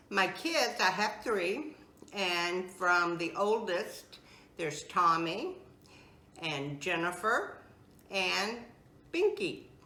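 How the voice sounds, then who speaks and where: A woman with a medium pitch and an American accent speaks at a very slow pace with long, frequent pauses, over noticeable background noise and audible room echo. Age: 70s. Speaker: home cook. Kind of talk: interview; cooking tutorial.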